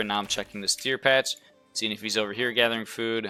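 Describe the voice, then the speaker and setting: Music plays in the background. A man with a medium pitch talks at a very fast pace. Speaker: esports player commentating own game. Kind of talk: game commentary. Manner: casual, filler-heavy.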